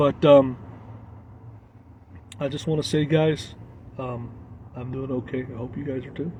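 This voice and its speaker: Somewhat breathy, a man speaks in an American accent with monotone, flat intonation. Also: medium pitch for a man, moderate pace. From Arkansas, US South. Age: 40s. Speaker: travel vlogger. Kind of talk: casual live stream chat. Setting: live stream. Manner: halting, many fillers.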